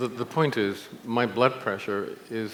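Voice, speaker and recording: Audible room echo and noticeable background noise surround a man speaking at a medium pitch and moderate pace with ordinary pitch variation. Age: 70s. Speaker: nutrition scientist and speaker. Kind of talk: conference talk.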